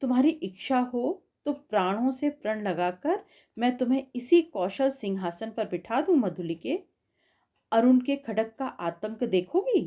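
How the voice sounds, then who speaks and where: High in pitch, a woman's voice has a dark, mellow tone and very wide pitch swings. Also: very clean recording, silent background. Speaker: audiobook narrator. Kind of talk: literary story narration.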